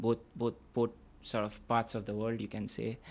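Recorded very cleanly against a silent background, a man speaks at a medium pitch. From India (Kolkata). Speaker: PhD student. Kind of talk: interview.

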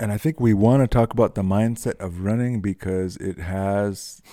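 Recorded with a dry, close sound and no echo, a man speaks in a dark, mellow tone at a fairly low pitch with fairly even intonation. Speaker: podcast co-host. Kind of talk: casual chat.

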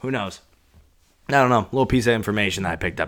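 On a very clean recording with a silent background, a man speaks at a fairly low pitch. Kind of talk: angry rant, heated and profane, self-interrupting venting into the mic. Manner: exasperated, scattered, loud and irritable.

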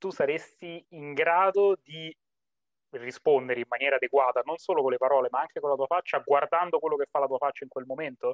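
Ordinary pitch variation and a fairly quick pace in an ordinary speaking voice. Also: man, fairly high pitch for a man. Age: 20s. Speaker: psychologist. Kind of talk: casual interview.

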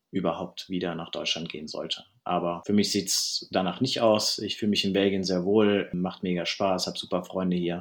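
The recording is very clean, with a silent background. A man with a very deep, low voice talks at a moderate pace, his intonation fairly even. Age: 30s. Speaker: field hockey goalkeeper. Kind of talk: interview.

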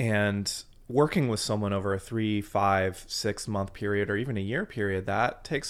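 A man with an American accent speaks in a normal speaking voice at a moderate pace. His pitch sits fairly low and his intonation stays fairly even. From US Midwest (Fort Wayne, Indiana). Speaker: bass trombonist and musician wellness coach. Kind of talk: interview. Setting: in person in Nashville.

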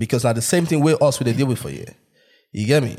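A man speaks at a medium pitch. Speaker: podcast host. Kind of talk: casual banter. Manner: animated, jokey.

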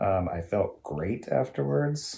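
With an American accent, a man talks in a somewhat breathy voice with lively intonation. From US West, Dinuba, California. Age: 40s. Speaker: electrical technician, host's husband. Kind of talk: casual chat. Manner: hesitant, many fillers.

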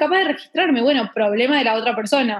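Speaking very fast in an Argentine accent, a woman uses a high pitch with ordinary pitch variation. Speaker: podcast guest. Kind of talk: casual chat.

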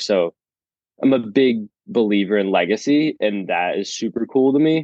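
With an American accent and an unremarkable speaking voice, a man speaks at a moderate pace with ordinary pitch variation. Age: 20s. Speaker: chiropractic student. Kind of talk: casual interview.

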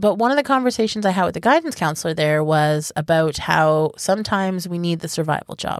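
A woman with a normal speaking voice talks at a moderate pace with lively intonation and a fairly low pitch, recorded very cleanly against a silent background. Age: 30s. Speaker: podcast co-host. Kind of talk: casual chat.

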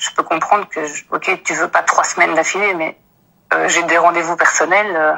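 Her voice is fairly low for a woman, delivered at a moderate pace in a monotone, flat intonation. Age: 30s. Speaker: office employee. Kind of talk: personal account.

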